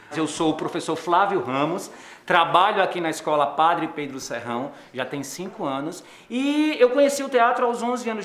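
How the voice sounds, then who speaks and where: Very wide pitch swings mark this man's speech, heard with audible room echo and light background noise. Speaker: theatre teacher. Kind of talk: interview answer. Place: classroom.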